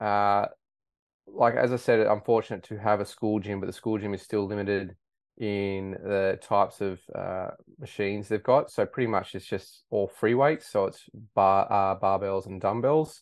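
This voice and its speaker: With an Australian accent, a man speaks at a moderate pace in a fairly low voice. His intonation stays fairly even. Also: quiet background. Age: 30s. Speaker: high school science teacher. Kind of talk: casual interview.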